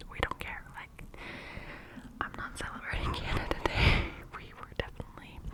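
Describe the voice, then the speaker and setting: Whispering at a moderate pace, a woman leaves long, frequent pauses, her loudness swinging widely over noticeable background noise. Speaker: ASMR creator. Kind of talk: whispered ASMR ramble to camera. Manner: whispered, close-mic, casual.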